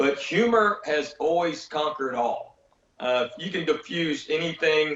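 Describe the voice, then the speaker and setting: This man's voice is pitched rather high. He talks in a Southern US accent. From Tennessee, USA. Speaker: stand-up comedian. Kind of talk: interview answer.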